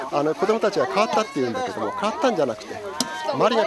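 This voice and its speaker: Crowd noise fills the background as a man talks at a very fast pace in a dry sound with no echo. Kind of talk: interview answer. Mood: warm, reflective. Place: open country.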